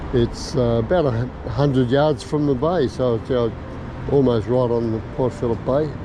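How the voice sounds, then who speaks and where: With an Australian accent, a man speaks at a medium pitch and a moderate pace, his intonation fairly even, amid audible room echo and noticeable background noise. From Australia, Melbourne. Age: 70s. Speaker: vlogger. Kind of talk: casual vlog narration. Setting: outdoors on a bike. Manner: halting.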